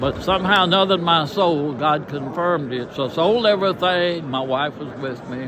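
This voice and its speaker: A man with a Southern US accent at a moderate pace, ordinary pitch variation, noticeable background noise. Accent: Southern American. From Tennessee. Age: 80s+. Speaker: retired pastor. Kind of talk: personal testimony interview.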